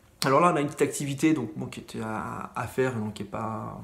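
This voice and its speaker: With audible room echo around him, a man talks with vocal fry. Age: 30s. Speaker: middle school science teacher. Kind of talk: lecture. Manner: fast; hesitant, many fillers.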